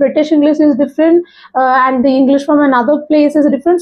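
A high-pitched woman at a very fast pace against a quiet background. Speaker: YouTuber giving English speaking tips. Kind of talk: monologue tutorial. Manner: informal, hesitant, self-deprecating. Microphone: lapel.

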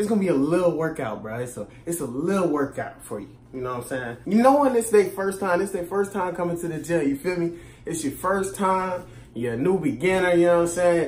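A man with a fairly high pitch and slightly mellow tone speaks at a fairly quick pace with lively intonation and few pauses, and audible room echo surrounds him.

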